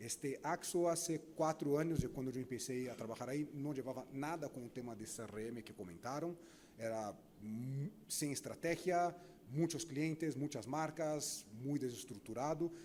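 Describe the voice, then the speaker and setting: A man with a Brazilian accent, fairly high in pitch, at a fairly slow pace with ordinary pitch variation. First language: Portuguese (speaking Spanish). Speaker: marketing executive, panelist. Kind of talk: panel discussion.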